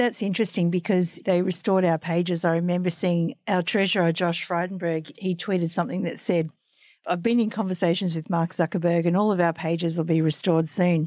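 Speaking with an Australian accent, a woman uses a fairly low voice at a fairly quick pace with fairly even intonation. Her loudness is very even, and the recording is very clean with a silent background. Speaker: podcast host and magazine editor. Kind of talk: interview.

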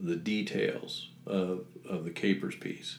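A man's voice with audible room echo. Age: 60s. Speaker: retired teacher and business owner. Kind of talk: interview.

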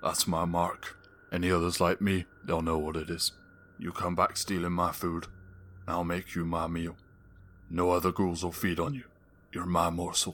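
A man's put-on character voice with a very deep, low pitch, a moderate pace and long, frequent pauses, in a very clean recording with a silent background. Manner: amused, menacing.

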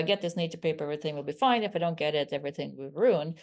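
The speaker has a Swedish accent. The background is quiet. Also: woman. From rural southern Sweden. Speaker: stem cell scientist, professor. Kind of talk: interview.

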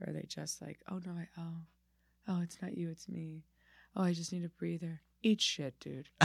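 A woman speaks with an American accent at a moderate pace. She leaves long, frequent pauses. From Miami, Florida. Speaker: comedian. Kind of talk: casual interview chat. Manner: halting, frequent restarts.

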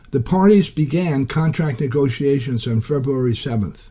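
A man with a fairly high pitch and a dark, mellow tone speaks at a moderate pace, somewhat breathy, with lively intonation. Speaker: labor radio reporter. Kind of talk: news reporting.

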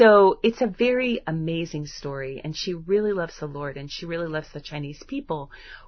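Fairly low in pitch, a woman speaks in an animated tone at a fairly quick pace with hardly any pauses, lively intonation and big swings in loudness. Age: 50s. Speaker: homeschooling podcast host. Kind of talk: solo podcast talk.

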